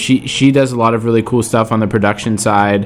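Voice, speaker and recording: A man with a fairly low voice speaks in an enthusiastic, upbeat tone. Music plays in the background. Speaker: radio host. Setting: radio studio broadcast. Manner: casual, enthusiastic and upbeat, with frequent fillers like um and uh; warm, chatty, gushing about songs.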